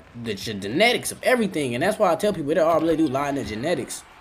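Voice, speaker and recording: A man talks at a very fast pace with a fairly high pitch and very wide pitch swings, while noticeable background noise runs underneath. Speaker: livestreamer. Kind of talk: livestream monologue. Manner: loud; animated.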